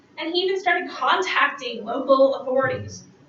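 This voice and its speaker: Someone talks fairly quickly while audible room echo fills the space. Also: woman. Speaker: university writing instructor. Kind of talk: conference presentation.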